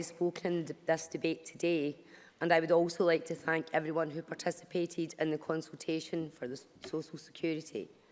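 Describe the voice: Speaking at a fairly quick pace, a woman keeps her low voice with little pitch movement.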